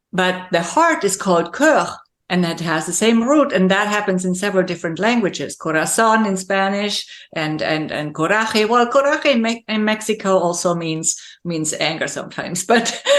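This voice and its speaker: With a German accent and lively intonation, a woman talks at a moderate pace and medium pitch. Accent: German-speaking accent in English. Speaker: leadership coach and speaker. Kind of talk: interview conversation.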